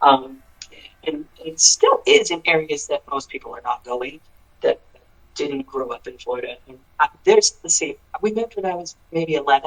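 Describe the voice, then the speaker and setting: A man's loudness swings widely as he talks at a moderate pace, recorded with a dry, close sound and no echo. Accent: American. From Pennsylvania. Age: 30s. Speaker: singer-songwriter. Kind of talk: interview. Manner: casual, halting with fillers.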